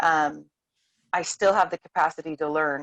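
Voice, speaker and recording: A woman with a plain, everyday voice speaks at a fairly low pitch with fairly even intonation, in a dry, close sound with no echo. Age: 30s. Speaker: homeschooling mother. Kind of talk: casual chat. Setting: video call.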